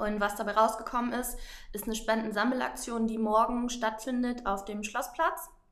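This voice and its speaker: Audible room echo surrounds a woman's voice. She speaks at a fairly high pitch with fairly even intonation. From northern Germany, Oldenburg. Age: 20s. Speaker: volunteer organizer and Instagram influencer. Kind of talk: interview.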